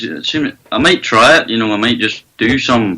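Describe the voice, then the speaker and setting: A man with a Northern Irish accent talks at a fairly quick pace. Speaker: country singer. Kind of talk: casual chat.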